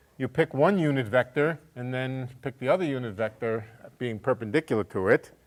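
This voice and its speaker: With a plain, everyday voice at medium pitch, a man speaks at a moderate pace with lively intonation. The sound is dry and close, with no echo. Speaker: physics professor. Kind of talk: lecture.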